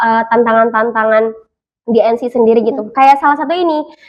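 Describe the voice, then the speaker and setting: High-pitched female speech delivered at a fairly quick clip. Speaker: MC and voice over talent. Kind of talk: podcast interview answer. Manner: casual, relaxed.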